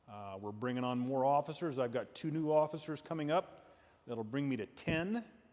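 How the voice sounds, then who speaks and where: At a fairly high pitch, a man with an unremarkable speaking voice talks at a moderate pace with lively intonation. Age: 60s. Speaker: state police officer. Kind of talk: safety training talk. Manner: conversational.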